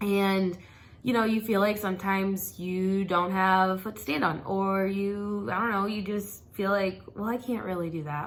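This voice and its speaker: A woman speaks at a moderate pace and medium pitch in a normal speaking voice. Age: 30s. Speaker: lifestyle vlogger, mom. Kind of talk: casual talk to camera.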